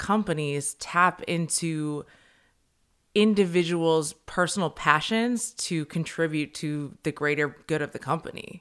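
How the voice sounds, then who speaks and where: A woman speaks at a very slow pace against a quiet background. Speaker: podcast host. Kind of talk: casual interview. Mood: thoughtful, engaged. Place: home room. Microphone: studio mic.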